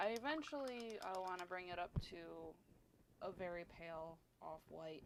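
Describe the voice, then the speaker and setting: A woman speaks softly, mumbling her words. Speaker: streamer painting miniatures. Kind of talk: casual livestream chat. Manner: soft-spoken. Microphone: clip-on mic hanging off shirt, too quiet.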